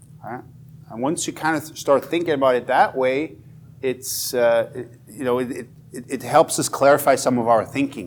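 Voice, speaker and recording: The intonation is fairly even. The speaker has a Swiss accent. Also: man, medium pitch for a man, moderate pace. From Switzerland, Fribourg (bilingual German/French). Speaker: education professor. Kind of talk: workshop lecture.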